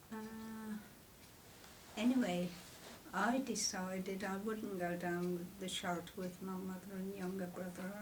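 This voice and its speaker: Over noticeable background noise, a woman at medium pitch speaks at a fairly slow pace with fairly even intonation and long, frequent pauses. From Coventry, England. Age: 80s+. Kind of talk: interview answer. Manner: hesitant.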